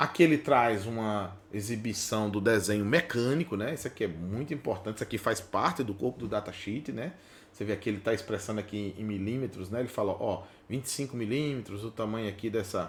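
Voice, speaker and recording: A man speaks at a fairly quick pace in a fairly low voice. His pitch varies in an ordinary way. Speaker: automation instructor. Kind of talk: tutorial. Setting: workbench. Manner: fast; casual, conversational.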